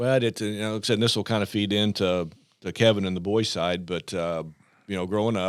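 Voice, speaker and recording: Speaking with an American accent and a normal speaking voice, a man talks at a fairly quick pace, fairly low in pitch with fairly even intonation, in a very clean recording with a silent background. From southern Illinois. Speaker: high school basketball coach. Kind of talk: casual chat. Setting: studio.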